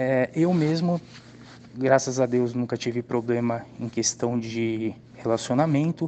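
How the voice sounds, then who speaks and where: An unremarkable speaking voice from a man, medium in pitch with ordinary pitch variation, at a fairly slow pace. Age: 30s. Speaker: customer testimonial. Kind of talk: testimony.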